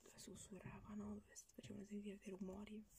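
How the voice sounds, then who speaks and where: A woman speaks. She is whispering. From Italy. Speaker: ASMR YouTuber. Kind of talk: casual talk to camera, book presentation. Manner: whispered, soft-spoken. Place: home room.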